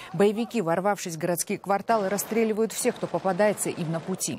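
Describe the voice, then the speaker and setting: A woman speaks at a fairly quick pace with a medium pitch and ordinary pitch variation. The sound is dry with no echo, with light background noise. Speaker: news anchor. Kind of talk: news reading. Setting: studio. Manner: formal. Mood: serious, measured. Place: studio. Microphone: lapel.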